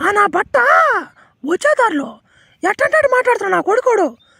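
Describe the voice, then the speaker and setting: A woman performs a cartoonish character voice in a dramatic tone at a moderate pace. The sound is dry and close, with no echo. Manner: wheedling, dramatic.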